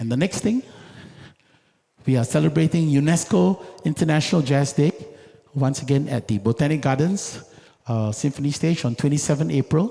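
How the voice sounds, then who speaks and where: Fairly high in pitch, a man has a dark, mellow tone that is somewhat breathy. His intonation is lively, his pace moderate, with long, frequent pauses. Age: 60s. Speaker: jazz music director and concert host. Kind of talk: concert stage announcements. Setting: theatre stage with audience.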